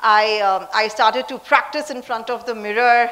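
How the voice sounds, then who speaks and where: A woman talks with noticeable background noise present. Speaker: leadership speaker and CEO.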